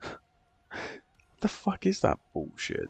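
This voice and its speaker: The voice is quiet. It carries vocal fry. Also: man. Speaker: gaming streamer. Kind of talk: live gameplay stream chat. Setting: at home at night, others asleep. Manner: quiet, keeping voice down.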